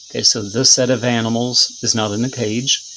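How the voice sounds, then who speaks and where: This man talks at a fairly quick pace in a monotone, flat intonation, with noticeable background noise behind him. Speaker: teacher. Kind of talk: tutorial. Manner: fast.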